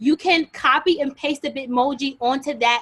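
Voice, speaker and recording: This woman's voice sits high. The way her pitch varies is ordinary. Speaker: teacher leading a workshop. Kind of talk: workshop tutorial. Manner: fast. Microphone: video call.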